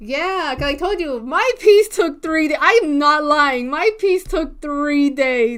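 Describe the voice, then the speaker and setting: A woman speaks loudly at a high pitch with lively intonation. She keeps a fairly slow pace. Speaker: livestreaming digital artist. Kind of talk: casual livestream chat. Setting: home, door closed to keep volume down. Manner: animated.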